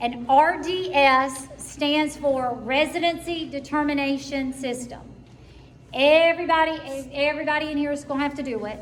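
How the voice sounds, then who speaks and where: A woman with a high voice and an American accent speaks at a moderate pace with fairly even intonation, with noticeable background noise and audible room echo. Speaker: school counselor. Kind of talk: parent information meeting.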